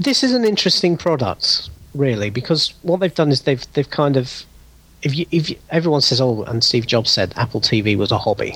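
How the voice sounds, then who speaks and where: At a moderate pace, a man with a British accent speaks in a fairly high pitch with lively intonation and very even loudness. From United Kingdom. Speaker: former podcaster, tech enthusiast. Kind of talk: casual chat. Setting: remote call.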